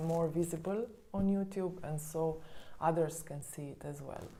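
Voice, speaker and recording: A soft-spoken woman with a fairly low pitch talks at a moderate pace in a monotone, flat intonation, with audible room echo. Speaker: spiritual coach. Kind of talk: vlog monologue. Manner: hesitant, many fillers.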